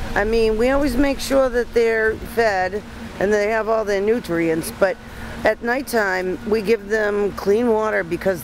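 A woman talks at a moderate pace in a dry recording with no echo, though background noise is noticeable. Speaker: goat farmer. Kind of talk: interview. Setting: outdoors. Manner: halting. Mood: relaxed, lightly humorous. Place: garden.

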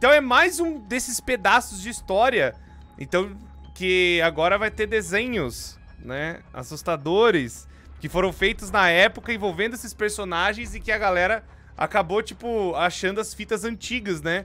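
A man speaks at a fairly slow pace in a raised, projected voice. Faint music plays in the background. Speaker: streamer. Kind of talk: casual stream commentary. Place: home room. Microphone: studio mic.

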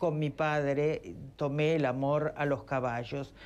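A woman speaks in a very deep, low pitch with fairly even intonation. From Argentina. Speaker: sculptor and former physician; guest. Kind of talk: TV interview. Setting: TV studio remote link. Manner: halting, many fillers. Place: studio. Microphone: lapel.

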